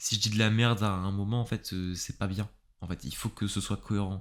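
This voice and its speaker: On a very clean recording with a silent background, a man speaks at a fairly low pitch with fairly even intonation. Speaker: YouTuber and podcaster on philosophy. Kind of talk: casual solo podcast monologue. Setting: home recording with pop filter. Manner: fast; casual, hesitant with fillers.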